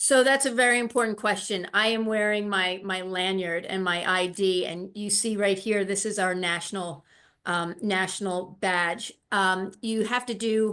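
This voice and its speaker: On a very clean recording with a silent background, a woman with a bright, sharp tone and medium pitch speaks at a fairly slow pace with fairly even intonation. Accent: American. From grew up between US and Ireland. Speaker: tourist guide trade liaison. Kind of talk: interview. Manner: halting, many fillers.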